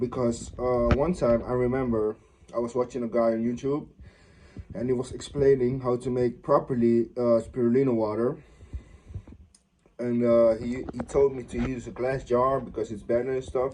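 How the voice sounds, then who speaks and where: A man at a medium pitch, moderate in pace, with monotone, flat intonation. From Netherlands. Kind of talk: casual talk to camera. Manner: hesitant, stuttering, many fillers.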